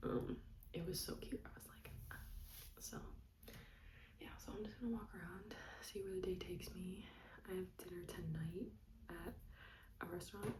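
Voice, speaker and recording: A woman whispering at a moderate pace, with audible room echo. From United States. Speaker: travel vlogger. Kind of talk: casual vlog. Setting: room in a rented apartment.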